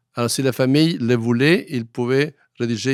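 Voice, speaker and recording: A man at a medium pitch, in a Spanish accent. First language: Spanish (speaking French). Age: 80s+. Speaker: historian. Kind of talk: interview. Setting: studio. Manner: halting.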